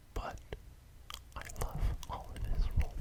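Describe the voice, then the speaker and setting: Noticeable background noise sits behind this man. He is whispering at a very slow pace. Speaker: ASMR creator. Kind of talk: ASMR whispered talk.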